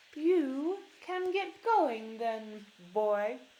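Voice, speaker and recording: A woman puts on a character voice with a high pitch. Her pitch swings very widely. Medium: read story. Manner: gruff, muttering.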